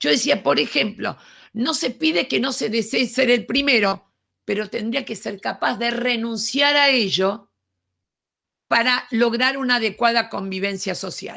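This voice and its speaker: Lively intonation and a bright, sharp tone mark a woman's fairly high voice. She speaks at a fairly slow pace on a very clean recording with a silent background. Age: 70s. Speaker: education speaker. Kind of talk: lecture.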